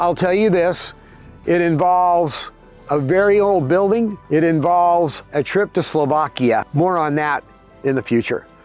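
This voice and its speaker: With music in the background, the voice moves at a fairly slow pace, keeping very even loudness and ordinary pitch variation. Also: man, high pitch for a man. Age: 70s. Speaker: entrepreneur. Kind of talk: casual talk to camera. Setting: outdoors.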